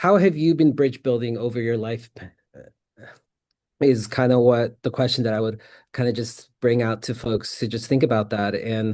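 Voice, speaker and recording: A man with an American accent at a medium pitch, ordinary pitch variation, a moderate pace and long, frequent pauses. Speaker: peacebuilding practitioner, conference presenter. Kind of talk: conference presentation.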